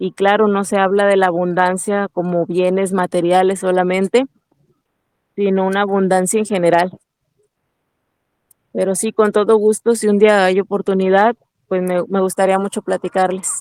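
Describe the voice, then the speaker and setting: With a Huasteca accent, a woman talks in a monotone, flat intonation. Long, frequent pauses break up her speech, and the sound is dry and close with no echo. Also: medium pitch for a woman, moderate pace. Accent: Mexican Spanish, Huasteca. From Mexico, Huasteca Potosina (San Luis Potosí). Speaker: network marketing entrepreneur. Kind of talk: interview.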